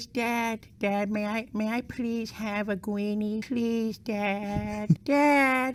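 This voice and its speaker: In a put-on character voice with fairly high pitch, the speaker talks at a very slow pace with hardly any pauses. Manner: sad, pleading, sympathetic.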